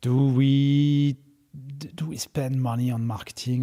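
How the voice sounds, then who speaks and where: A man with a French accent, somewhat breathy, his tone dark and mellow and his intonation flat and monotone. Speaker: startup founder and CEO. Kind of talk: interview. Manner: hesitant, many filler words.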